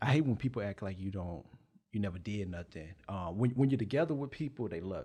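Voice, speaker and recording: Speaking at a very fast pace, a man with a fairly low pitch and a dark, mellow tone sounds somewhat breathy, with lively intonation and big swings in loudness. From Texas. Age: 20s. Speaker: rapper. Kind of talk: interview. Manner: laid back.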